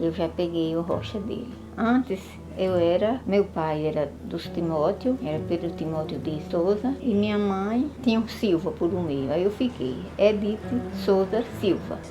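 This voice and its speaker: Over noticeable background noise, a woman speaks at a fairly low pitch and a fairly slow pace. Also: lively intonation. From Bahia interior, Brazil (Caraíba, Campo Formoso). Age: 70s. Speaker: elderly local resident. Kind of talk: interview testimony.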